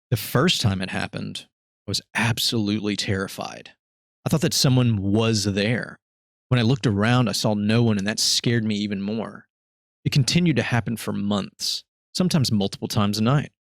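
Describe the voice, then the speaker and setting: An unremarkable speaking voice from a man at a fairly quick pace, with ordinary pitch variation, in a very clean recording against a silent background. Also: fairly low pitch for a man. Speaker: podcast host. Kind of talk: ghost story reading.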